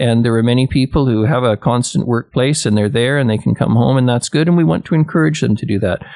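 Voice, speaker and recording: There is noticeable background noise behind a man's voice. He speaks at a medium pitch with ordinary pitch variation. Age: 70s. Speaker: city mayor. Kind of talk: radio interview. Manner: hesitant, many fillers.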